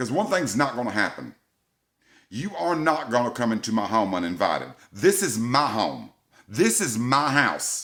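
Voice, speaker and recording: In a Southern US accent, the speaker delivers an animated tone at a moderate pace, with very wide pitch swings and vocal fry. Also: man, medium pitch for a man. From US South. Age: 50s. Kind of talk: angry rant to camera.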